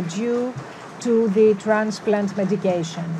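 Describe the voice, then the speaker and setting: Background noise is noticeable throughout. The speaking pace is fairly slow. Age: 40s. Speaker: patient speaker at conference. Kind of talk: conference testimony. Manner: halting, many fillers.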